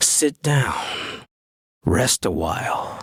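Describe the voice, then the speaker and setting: A man puts on a character voice. It sounds raspy. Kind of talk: theatrical horror host introduction.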